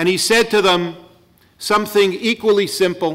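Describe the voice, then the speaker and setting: A man speaks at a fairly slow pace with a high pitch. The background is quiet. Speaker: rally organizer introducing the governor. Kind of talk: rally speech, opening address. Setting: stage with audience. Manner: earnest, emphatic, rhetorical. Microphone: podium.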